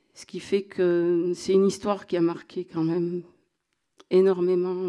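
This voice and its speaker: A woman with a southwestern French accent speaks at a fairly slow pace in a dark, mellow tone. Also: quiet background. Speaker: association representative. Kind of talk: panel talk. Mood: earnest, reflective. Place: hall. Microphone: handheld.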